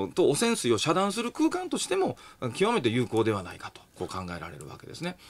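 A man talking at a very fast pace, with big swings in loudness. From Japan, Nara; Japan. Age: 40s. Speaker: engineering professor; radio commentator, guest. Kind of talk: radio talk show interview. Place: studio.

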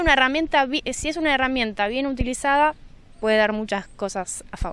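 A woman speaks with ordinary pitch variation. The sound is dry, with no echo. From Buenos Aires city, Argentina. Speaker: social media artist, workshop leader. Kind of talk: interview. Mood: friendly, relaxed. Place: hall. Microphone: handheld.

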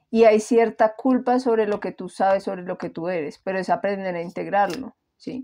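A woman's dark, mellow tone at a moderate pace, ordinary pitch variation and big swings in loudness, over a quiet background. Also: medium pitch for a woman. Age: 30s. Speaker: tarot reader. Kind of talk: tarot reading. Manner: casual.

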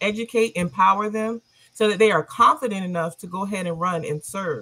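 A woman with an American accent speaks at a medium pitch and a moderate pace. Her tone is bright and sharp, with ordinary pitch variation. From South Carolina, Orangeburg. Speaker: local party official. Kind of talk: panel discussion.

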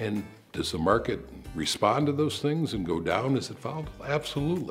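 Faint music plays behind a man talking at a fairly quick pace. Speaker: interviewee. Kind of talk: interview answer. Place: home room.

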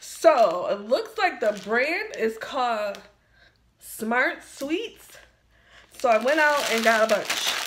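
Light background noise sits behind the speech. The pace is very slow, with very wide pitch swings. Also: woman, high pitch for a woman. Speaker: product reviewer. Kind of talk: casual vlog chat. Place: kitchen. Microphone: phone near.

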